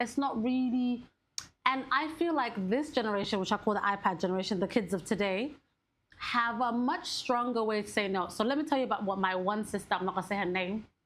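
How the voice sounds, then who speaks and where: Fairly high-pitched female speech, fairly quick in pace, with ordinary pitch variation and very even loudness. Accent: Somali. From Somali family. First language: Somali. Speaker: podcast co-host. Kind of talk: casual chat.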